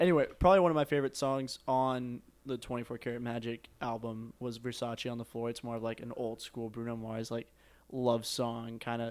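The man has an ordinary speaking voice, pitched in the medium range, with fairly even intonation and a moderate pace. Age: young. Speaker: podcast co-host. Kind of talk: casual chat.

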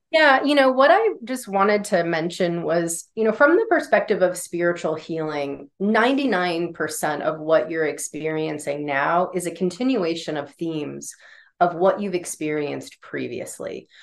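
A woman with an American accent and a normal speaking voice talks at a fairly slow pace and fairly low pitch, with hardly any pauses. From US Northeast, northern Vermont. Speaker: intuitive healer. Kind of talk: guided energy clearing.

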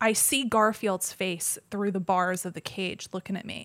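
A woman speaks with an American accent at a medium pitch. It is a normal speaking voice. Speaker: painter and podcast guest. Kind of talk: casual chat.

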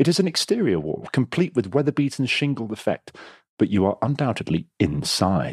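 A man with an English accent speaks at a moderate pace, his pitch swinging very widely. The sound is dry and close, with no echo. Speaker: game master host. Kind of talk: comedic puzzle game narration. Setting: online call. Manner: playful.

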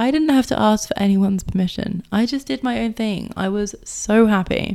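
A woman speaks with a British accent at a moderate pace. Her tone is dark and mellow. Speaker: podcast host, success coach. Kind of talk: casual monologue.

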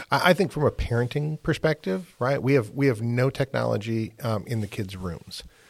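A man with an ordinary speaking voice and medium pitch talks at a moderate pace with lively intonation and hardly any pauses. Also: very clean recording, silent background. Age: 50s. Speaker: podcast host. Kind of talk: interview.

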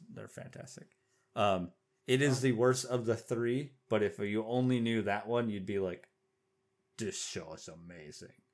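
Speaking at a moderate pace with an American accent, a man uses an unremarkable speaking voice at medium pitch, with ordinary pitch variation and big swings in loudness. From Oklahoma. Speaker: podcast co-host. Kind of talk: casual chat.

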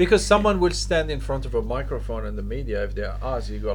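A man's very fast speech over music in the background. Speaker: podcast host. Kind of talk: casual chat.

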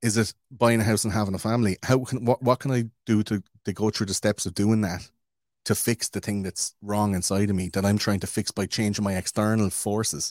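Speaking at a fairly quick pace, a man with a fairly low pitch is heard in a very clean recording with a silent background and a dry, close sound with no echo. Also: fairly even intonation. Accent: Irish. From Ireland. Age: 30s. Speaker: podcaster. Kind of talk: casual chat.

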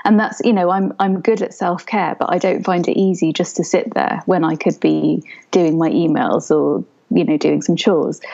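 A calm, dark, mellow voice with vocal fry and a British accent moves at a moderate pace with ordinary pitch variation. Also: woman, fairly low pitch for a woman. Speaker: osteopath and doula. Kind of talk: casual chat.

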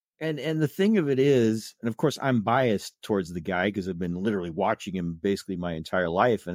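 Recorded very cleanly against a silent background with a dry, close sound and no echo, a man with a Midwestern American accent and fairly low pitch talks at a fairly quick pace. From US Midwest, Indiana (South Bend). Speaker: blogger and horror film fan. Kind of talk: casual interview chat. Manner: halting, frequent repetitions.

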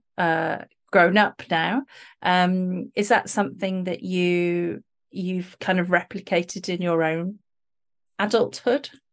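Her voice is a normal speaking voice, medium in pitch for a woman, with fairly even intonation. She goes at a fairly slow pace against a quiet background. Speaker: podcast host. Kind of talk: casual interview chat. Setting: video call.

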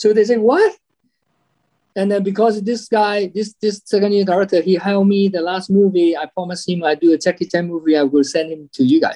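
The fairly quick speech of a man with a high pitch and a dark, mellow tone sounds dry and close, with no echo. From Hong Kong. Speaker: stunt performer and fight choreographer. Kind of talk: interview. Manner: halting.

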